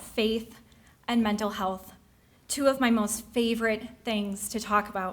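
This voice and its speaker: Speech comes at a fairly slow pace. There is audible room echo. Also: woman. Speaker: speaker sharing mental health story. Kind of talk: personal testimony speech. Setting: stage with audience.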